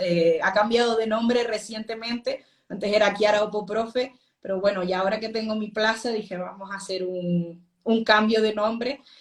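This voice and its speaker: With a Canarian accent, a woman of medium pitch speaks at a moderate pace with ordinary pitch variation. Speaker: secondary school teacher. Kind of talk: live interview. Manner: sweet, gentle.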